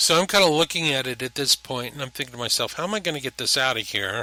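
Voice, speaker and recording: Bright and sharp in tone, a man speaks at a very fast pace and medium pitch, with very wide pitch swings. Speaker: antique telephone restorer. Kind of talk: casual narration over a restoration video. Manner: rambling, hesitant with frequent ums.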